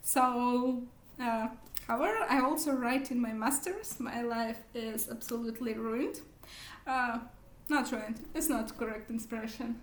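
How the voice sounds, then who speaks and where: A woman speaks at a high pitch and a fairly slow pace, with ordinary pitch variation. Audible echo fills the room. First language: not English. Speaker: book vlogger. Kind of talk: casual vlog monologue. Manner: halting, many fillers.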